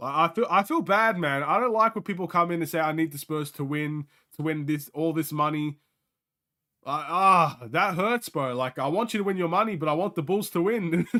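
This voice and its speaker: A man's high, bright, sharp voice, animated in tone, with ordinary pitch variation at a moderate pace. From Australia. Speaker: sports streamer. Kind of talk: live game watchalong commentary. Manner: casual, animated.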